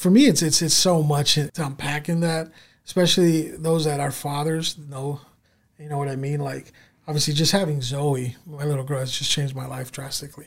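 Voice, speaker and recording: A man with an American accent and a normal speaking voice talks at a moderate pace and a fairly high pitch. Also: fairly even intonation. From Southern California (San Diego area). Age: 30s. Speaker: store owner. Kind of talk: casual interview.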